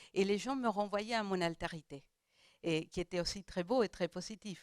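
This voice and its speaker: A woman with a non-native accent speaks at a medium pitch and moderate pace with ordinary pitch variation. The recording is very clean, with a silent background and a dry, close sound with no echo. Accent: foreign accent in French. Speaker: round table panelist. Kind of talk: panel discussion. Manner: halting, many hesitations.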